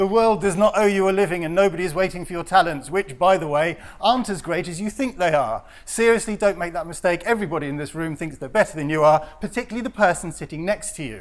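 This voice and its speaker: At a very fast pace, a man speaks in a high voice with ordinary pitch variation and big swings in loudness. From Netherlands. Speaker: professional photographer. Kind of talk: lecture. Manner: conversational, direct.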